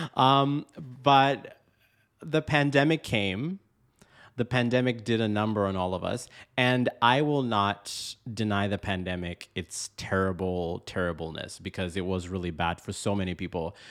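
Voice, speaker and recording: Using an ordinary speaking voice, a man talks at a fairly slow pace, his pitch fairly low and his intonation lively. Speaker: podcast host. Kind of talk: casual comedic chat.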